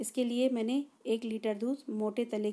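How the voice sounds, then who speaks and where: This woman's voice has a dark, mellow tone. She speaks at a fairly slow pace with fairly even intonation. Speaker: home cook vlogger. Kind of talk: cooking tutorial. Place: kitchen. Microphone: phone near.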